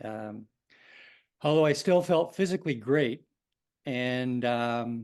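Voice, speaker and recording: A man with a Canadian accent talks at a very slow pace, with long, frequent pauses and ordinary pitch variation. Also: medium pitch for a man, quiet background. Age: 60s. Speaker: pancreatic cancer patient, engineer. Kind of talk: webinar talk.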